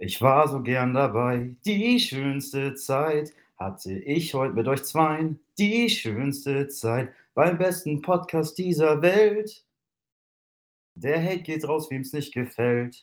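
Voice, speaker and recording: With lively intonation, a man speaks at a fairly high pitch and a very slow pace. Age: 20s. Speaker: hobby musician. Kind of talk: interview.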